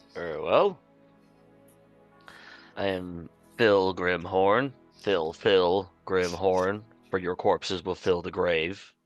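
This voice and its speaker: A man's put-on character voice, very deep and low in pitch, at a very slow pace with long, frequent pauses and faint music in the background. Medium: actual play. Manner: grandiose, solemn.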